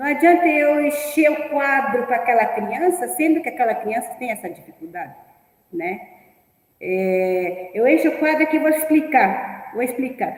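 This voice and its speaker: Her high pitch swings very widely as a woman speaks at a fairly slow pace, with audible room echo around her. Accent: non-native. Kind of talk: teacher training talk. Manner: halting.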